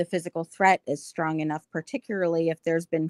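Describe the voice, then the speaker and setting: This woman's voice is fairly low, with fairly even intonation. It is an unremarkable speaking voice, recorded with a dry, close sound and no echo. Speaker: panelist on discussion podcast. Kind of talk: panel discussion.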